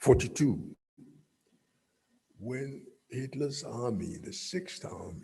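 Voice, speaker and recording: This man has a fairly high pitch, a dark, mellow tone and a somewhat breathy sound. He speaks very slowly with lively intonation and long, frequent pauses. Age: 70s. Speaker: guest speaker. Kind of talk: speech.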